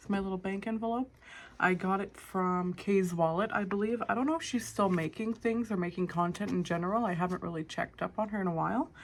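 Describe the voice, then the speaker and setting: Here a woman speaks in a Canadian accent with an unremarkable speaking voice. Her pitch is medium with ordinary variation, and her pace is fairly quick. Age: 20s. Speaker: budgeting content creator. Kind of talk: casual talk to camera.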